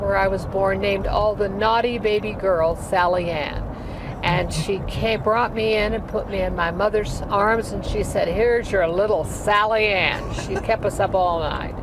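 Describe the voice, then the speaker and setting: An American woman speaks at a moderate pace and medium pitch with ordinary pitch variation, in an American accent. Audible room echo and noticeable background noise fill the recording. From New Mexico, US. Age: 80s+. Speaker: singer. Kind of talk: interview.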